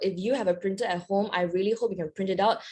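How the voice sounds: A woman talks at a fast pace. Her medium-pitched voice has a slightly mellow tone and ordinary pitch variation.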